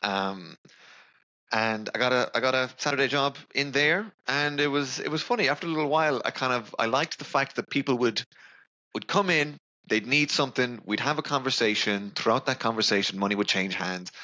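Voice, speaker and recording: With an Irish accent, a man speaks fairly quickly at a medium pitch, his tone bright and sharp and his intonation lively, against a quiet background. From west of Ireland (Ballinasloe). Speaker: sales account manager. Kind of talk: podcast interview.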